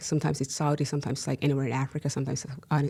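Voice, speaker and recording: A woman with a Somali accent, very deep and low in pitch, somewhat breathy with a dark, mellow tone, flat and monotone at a very fast pace. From Somalia, then Finland from age seven. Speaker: activist and columnist. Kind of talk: casual interview chat.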